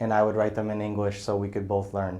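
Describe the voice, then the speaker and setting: Here a man talks with an American accent at a fairly low pitch, in a monotone, flat intonation. Audible room echo is present. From US Northeast, Brockton, Massachusetts. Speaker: business development professional. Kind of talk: interview. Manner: casual, many filler words.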